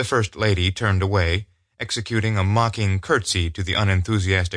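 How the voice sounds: The intonation stays fairly even in this natural reading voice. Nothing stirs behind it.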